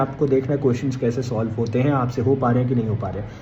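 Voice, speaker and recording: The voice belongs to a man. It is somewhat breathy, with a dark, mellow tone. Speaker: exam coaching educator. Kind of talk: tutorial.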